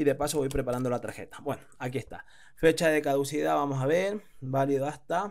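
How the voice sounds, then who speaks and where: A man talks at a fairly quick pace, his fairly high pitch showing ordinary variation. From Spain. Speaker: online business teacher. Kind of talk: screen-recorded tutorial. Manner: hesitant, many fillers.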